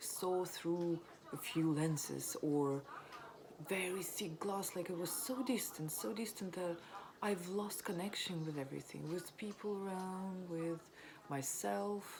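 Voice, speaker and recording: Over noticeable background noise and audible room echo, a woman with a strong non-native accent talks at a very slow pace, her medium pitch showing ordinary variation. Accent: non-native accent, self-described as strong. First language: not English. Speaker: vlogger sharing recovery story. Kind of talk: personal testimony. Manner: hesitant, many fillers.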